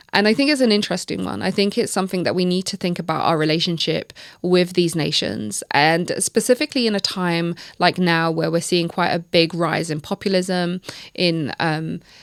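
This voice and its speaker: Recorded dry and close with no echo against a silent background, a woman speaks at a fairly low pitch with ordinary variation. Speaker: podcast host. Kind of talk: solo podcast commentary. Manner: fast.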